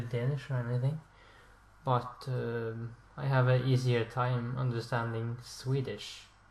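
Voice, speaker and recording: A man speaks at a very slow pace and medium pitch, his intonation monotone and flat. Audible room echo and noticeable background noise are present. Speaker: language learning video creator. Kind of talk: casual explainer monologue. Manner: halting, with fillers and self-corrections.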